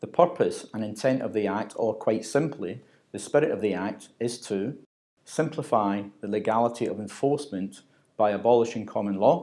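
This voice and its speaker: A man speaks at medium pitch in a Glaswegian accent, his dark, mellow tone moving at a moderate pace over a very clean recording with a silent background. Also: ordinary pitch variation. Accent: Glaswegian Scottish. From Scotland, Glasgow. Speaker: corporate trainer. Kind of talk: scripted narration. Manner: formal.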